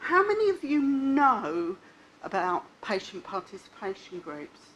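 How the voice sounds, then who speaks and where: A loud woman with a high voice speaks at a fairly slow pace, her pitch swinging very widely against noticeable background noise. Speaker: patient advocate speaker. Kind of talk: conference talk. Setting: stage with audience.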